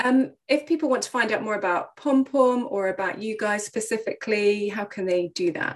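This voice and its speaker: At a moderate pace, a woman uses an ordinary speaking voice, fairly high in pitch with ordinary pitch variation. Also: hardly any pauses. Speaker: podcast host and clinical psychologist. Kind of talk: casual interview chat.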